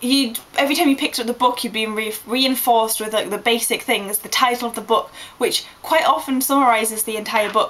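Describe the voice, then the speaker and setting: A woman with an English accent speaks at a fairly quick pace with hardly any pauses, over noticeable background noise. Her pitch is fairly high, with ordinary variation. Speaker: vlogger. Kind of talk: casual vlog monologue. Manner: fast; animated.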